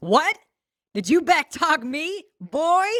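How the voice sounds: A woman's put-on character voice, slow in pace, high in pitch with big pitch swings, fairly bright in tone, in a dry, close sound with no echo.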